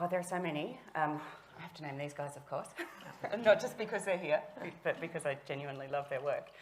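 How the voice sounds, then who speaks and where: Very fast speech in an Australian accent, with big swings in loudness, ordinary pitch variation, and long, frequent pauses. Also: woman, very deep, low pitch for a woman. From Tasmania, southern. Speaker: author. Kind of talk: panel discussion.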